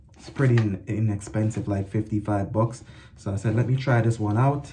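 Noticeable background noise sits behind a man's voice. He speaks at a moderate pace with fairly even intonation. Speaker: product reviewer. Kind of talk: casual vlog chat. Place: bathroom. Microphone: phone near.

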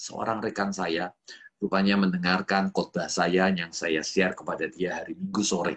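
The background stays quiet. Over it, a man talks with lively intonation. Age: 40s. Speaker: pastor. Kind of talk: sermon. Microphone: webcam.

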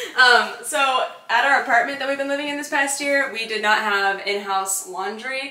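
With hardly any pauses, a woman talks in a raised, projected voice with ordinary pitch variation, and audible room echo surrounds her. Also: moderate pace. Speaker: homeowner vlogger. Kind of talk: casual vlog chat. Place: kitchen. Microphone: camera far.

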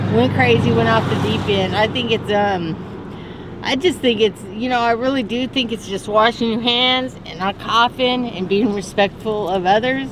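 Over noticeable background noise, a woman with an American accent speaks in a dry sound with no echo. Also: moderate pace. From Northern California. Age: 50s. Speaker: interviewee, former factory and retail worker; interviewee, former factory. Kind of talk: street interview. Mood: friendly, earnest. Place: street.

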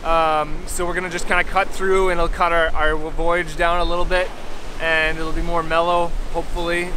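With noticeable background noise, a man talks at a moderate pace. His intonation is monotone and flat, and the sound is dry with no echo. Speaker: sailing vlogger. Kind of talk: casual vlog chat. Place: beach. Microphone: phone near.

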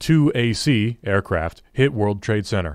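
A man with an unremarkable speaking voice, fairly low pitch and ordinary pitch variation, on a very clean recording with a silent background. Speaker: audiobook narrator. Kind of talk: audiobook reading of a government report, grave dramatic narration. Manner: solemn, measured, formal.

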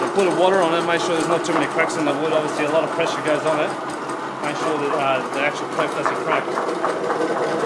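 Loud background noise runs under the recording. A man talks at a fairly quick pace. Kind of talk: casual vlog chat. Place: factory. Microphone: phone near.

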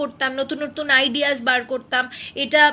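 A woman's raised, projected voice, high in pitch, with monotone, flat intonation. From Malda, West Bengal, India; West Bengal, India. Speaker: TV serial actress; television serial actress. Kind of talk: live Q&A with fans. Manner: casual, chatty. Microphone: phone near.

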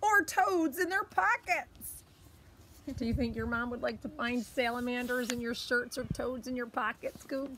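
With a high pitch and lively intonation, a woman speaks at a moderate pace, the sound dry with no echo and light background noise. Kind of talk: children's story read-aloud. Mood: warm, playful. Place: garden. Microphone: phone near.

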